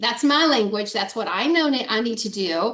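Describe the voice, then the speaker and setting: A woman with a fairly high pitch and ordinary pitch variation talks over noticeable background noise. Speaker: sales trainer. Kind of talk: online training session. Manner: fast.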